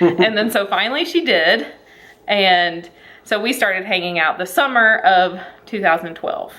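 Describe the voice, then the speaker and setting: With a Southern US accent, a woman speaks at a moderate pace, medium in pitch, with lively intonation. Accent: Southern accent, noticeable. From Alabama, US South. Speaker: vlogger. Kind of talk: casual chat.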